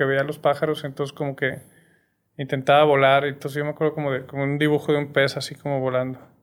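The recording is very clean, with a silent background. A man with a fairly high pitch speaks in a flat monotone. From Torreón, Coahuila, northern Mexico. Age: 40s. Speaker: film producer and social entrepreneur. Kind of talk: casual chat.

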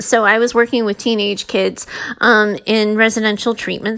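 Speaking with a normal speaking voice, a woman has a fairly high pitch and a fairly quick pace. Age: 40s. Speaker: podcast host, mindset and leadership coach. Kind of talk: solo podcast monologue.

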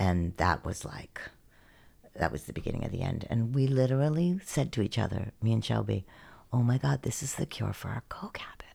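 A woman's very deep, low voice has a dark, mellow tone, vocal fry and very wide pitch swings, moving at a fairly quick pace on a very clean recording with a silent background. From western Pennsylvania. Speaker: hot yoga instructor. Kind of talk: casual interview, life story.

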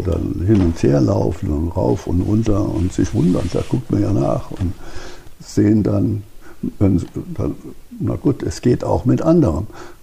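Over noticeable background noise, a man with a very deep, low pitch talks at a fairly slow pace with very wide pitch swings. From Hesse, Germany (Marburg). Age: 80s+. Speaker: retired optics professor and museum founder. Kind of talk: interview and guided museum tour. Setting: in a barn museum.

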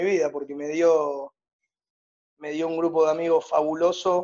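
In a Rioplatense accent, a man talks at a fairly slow pace in a fairly high pitch with monotone, flat intonation. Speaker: youth movement director. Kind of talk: casual interview.

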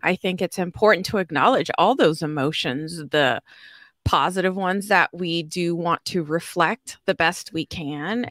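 Recorded with a dry, close sound and no echo, a woman with an ordinary speaking voice talks at a fairly low pitch. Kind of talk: panel discussion. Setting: video call.

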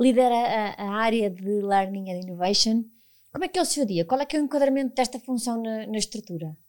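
A woman with a plain, everyday voice speaks at a fairly high pitch and a fairly quick pace, her intonation lively, in a very clean recording with a silent background. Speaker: podcast host, HR professional. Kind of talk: interview.

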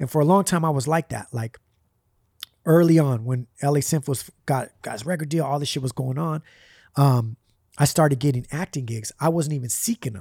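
On a very clean recording with a silent background and a dry, close sound with no echo, a man speaks at a fairly quick pace in a fairly high, somewhat breathy voice with a dark, mellow tone and ordinary pitch variation. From US West Coast, Puerto Rican family. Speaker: rapper. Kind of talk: casual chat.

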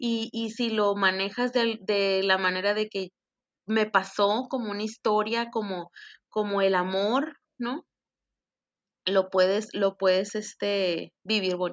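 Over a quiet background, a woman at medium pitch speaks at a very slow pace with fairly even intonation and a dry, close sound with no echo. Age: 30s. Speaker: bereaved mother sharing her story. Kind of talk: testimony.

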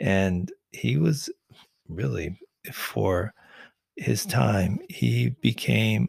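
In a dry, close recording without echo, a man speaks very slowly in a very deep, low voice with vocal fry. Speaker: podcast host and producer.

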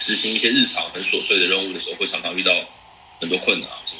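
A man with a Taiwanese accent speaks at a fairly quick pace, with audible room echo and noticeable background noise. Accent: Taiwanese Mandarin. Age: 20s. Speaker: photographer moving into game industry. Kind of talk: casual interview conversation. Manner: halting, repetitive.

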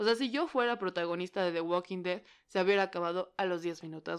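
With a Mexican accent and ordinary pitch variation, a woman speaks in a very clean recording with a silent background. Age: 30s. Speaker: podcaster. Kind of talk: casual monologue. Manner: animated.

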